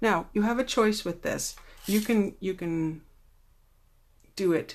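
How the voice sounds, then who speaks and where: A soft-spoken woman at medium pitch, fairly slow in pace, with ordinary pitch variation. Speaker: card-making demonstrator. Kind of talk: tutorial. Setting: Facebook Live replay.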